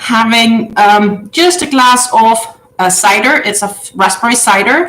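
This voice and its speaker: Amid noticeable background noise and audible room echo, a woman speaks at a fairly slow pace with a fairly high pitch. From Denmark. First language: Danish. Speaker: crochet livestreamer. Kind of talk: casual chat. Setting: livestream via webcam. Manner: hesitant with many fillers.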